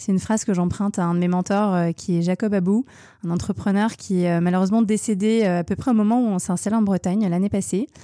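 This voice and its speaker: A woman speaks at a fairly quick pace, medium in pitch, with a dark, mellow tone and fairly even intonation. Her loudness stays very even on a very clean recording with a silent background. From France. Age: 30s. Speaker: fashion entrepreneur. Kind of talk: casual interview.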